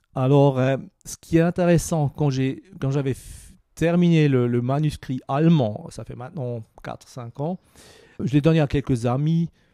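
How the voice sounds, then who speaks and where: Dry and close with no echo, a man's fairly high-pitched voice with a dark, mellow tone moves at a fairly slow pace, showing ordinary pitch variation and big swings in loudness. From Switzerland, Basel. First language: Swiss German (Basel dialect) (speaking French). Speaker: communication consultant and author. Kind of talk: interview. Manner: halting, many repetitions and fillers.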